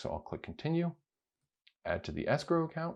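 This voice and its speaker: A man speaks, and the background around him is quiet. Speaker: crypto video creator. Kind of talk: screen-recorded tutorial.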